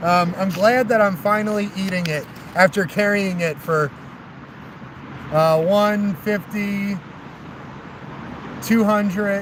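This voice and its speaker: There is noticeable background noise as a man speaks at a very slow pace with long, frequent pauses. His voice is high-pitched, with fairly even intonation. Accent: American. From New Jersey. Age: 30s. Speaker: long-distance walker vlogger. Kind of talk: casual vlog chat to live viewers. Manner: rambling with many fillers.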